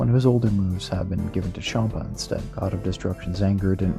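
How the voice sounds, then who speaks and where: Music plays behind a man with a very deep, low voice. He talks at a very fast pace with lively intonation. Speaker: game modder. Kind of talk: video game mod commentary narration.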